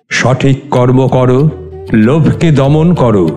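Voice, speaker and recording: A man's medium-pitched voice with ordinary pitch variation, music playing behind him. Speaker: poet and reciter of his own poems. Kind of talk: poetry reading.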